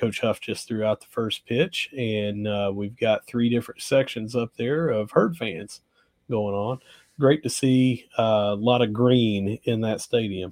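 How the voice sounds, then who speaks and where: Medium pitch in a man's voice, rising and falling in an ordinary way. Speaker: podcast host. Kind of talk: casual sports podcast chat.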